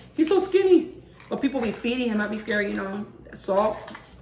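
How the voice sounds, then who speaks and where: Amid noticeable background noise and audible room echo, a woman speaks in an animated tone. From Puerto Rico, raised partly abroad (military family). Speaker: cooking vlogger. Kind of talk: casual cooking tutorial. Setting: home kitchen. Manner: chatty, animated.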